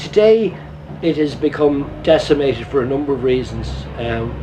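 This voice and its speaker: A man with a Dublin accent speaks at a moderate pace against noticeable background noise. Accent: Dublin Irish. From Ireland, Dublin. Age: 60s. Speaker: painter. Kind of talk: documentary interview.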